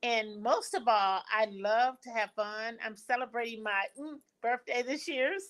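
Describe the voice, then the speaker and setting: Her pitch sits fairly high. The woman talks at a moderate pace. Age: 50s. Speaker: business advocate. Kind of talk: casual chat.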